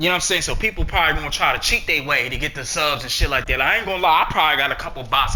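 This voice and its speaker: Very fast delivery with lively intonation over noticeable background noise. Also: man. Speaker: gaming streamer. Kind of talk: casual vlog monologue. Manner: rambling, halting.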